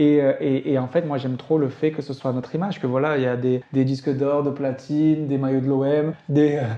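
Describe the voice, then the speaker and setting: With a slight Marseille accent, a man speaks at a fairly high pitch and fairly quick pace, in monotone, flat intonation with hardly any pauses, over noticeable background noise. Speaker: university lecturer and rap industry agency co-founder. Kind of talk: casual interview chat. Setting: in his agency's office. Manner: hesitant, many fillers.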